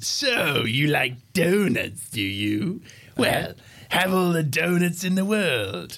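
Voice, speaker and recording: A man puts on a character voice with a high pitch and very wide pitch swings. He speaks at a very slow pace. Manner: mocking, taunting.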